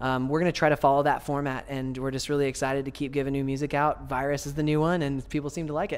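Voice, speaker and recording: This man talks at a very fast pace. His fairly high voice stays monotone and flat. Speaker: lead vocalist of a metalcore band. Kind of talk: interview answer. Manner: soft-spoken. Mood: friendly, soft-spoken. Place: home room. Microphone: handheld.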